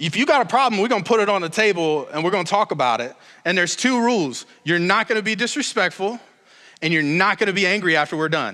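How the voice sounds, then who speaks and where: A man talks very fast in a raised, projected voice, high in pitch with a bright, sharp tone. His animated delivery has lively intonation, and the recording is very clean with a silent background. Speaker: pastor. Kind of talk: sermon. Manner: loud; casual, animated.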